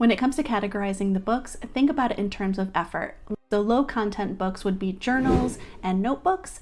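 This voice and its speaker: At a fairly quick pace, a woman with a medium pitch and ordinary pitch variation speaks over noticeable background noise. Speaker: online business tutorial creator. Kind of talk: tutorial.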